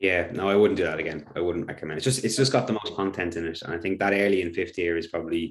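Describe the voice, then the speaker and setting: On a very clean recording with a silent background, a man speaks with an Irish accent. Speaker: teacher. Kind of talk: workshop presentation. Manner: fast.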